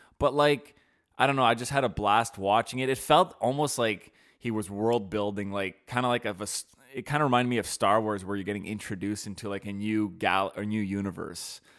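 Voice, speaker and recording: Recorded very cleanly against a silent background, a man with a plain, everyday voice speaks at a fairly quick pace, his pitch fairly low and its variation ordinary. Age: 20s. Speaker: podcast co-host. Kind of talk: casual chat. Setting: studio.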